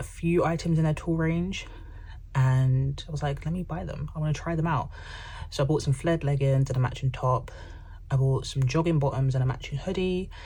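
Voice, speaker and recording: A woman with a London accent, her dark, mellow tone somewhat breathy and her intonation fairly even. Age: young. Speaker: personal finance YouTuber. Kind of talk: casual chat. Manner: chatty, filler-heavy.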